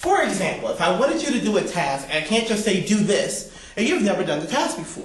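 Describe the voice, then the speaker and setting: Loud speech from a man comes through audible room echo and noticeable background noise. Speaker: public speaking teacher. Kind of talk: lecture. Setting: classroom. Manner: bombastic.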